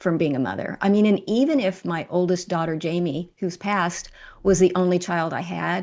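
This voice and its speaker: A woman speaks with an unremarkable speaking voice at a moderate pace. Her intonation is fairly even, and the background is quiet. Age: 60s. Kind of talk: interview.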